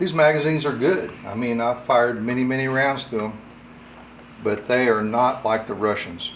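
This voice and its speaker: With audible room echo, a man speaks at a moderate pace and medium pitch, using ordinary pitch variation. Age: 60s. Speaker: firearms hobbyist reviewer. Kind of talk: tutorial. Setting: home workshop. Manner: casual, halting.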